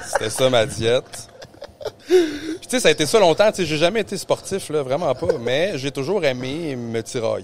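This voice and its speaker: Against noticeable background noise, a man with a Quebec accent speaks at a moderate pace, with lively intonation and a fairly high pitch. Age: 30s. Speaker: jiu-jitsu practitioner. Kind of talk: casual podcast chat.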